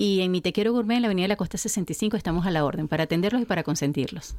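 The speech comes very fast in a Venezuelan accent. Pitch moves in an ordinary way. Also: woman. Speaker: gourmet shop owner. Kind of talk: radio interview.

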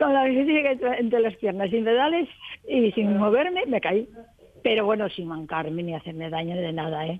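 A woman speaks at a moderate pace in a fairly high voice, her pitch swinging very widely, with noticeable background noise. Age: 70s. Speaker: retiree learning to ride a bike. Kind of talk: radio interview.

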